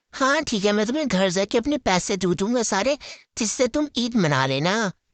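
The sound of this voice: A cartoonish character voice pitched fairly high speaks at a moderate pace. The background is quiet.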